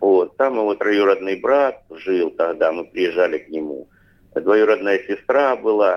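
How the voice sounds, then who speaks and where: A man speaks at a fairly slow pace with big swings in loudness. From Rostov region, southern Russia. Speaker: head of an ethnic cultural association. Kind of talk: interview. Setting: remote line. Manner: halting, with many filler sounds.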